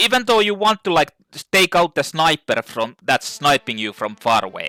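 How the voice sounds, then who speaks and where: Music plays in the background as a man speaks at a moderate pace in a fairly high pitch. His pitch swings very widely, and the sound is dry and close with no echo. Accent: non-native. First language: not English. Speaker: gaming YouTuber. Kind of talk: gameplay commentary rant. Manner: animated; halting.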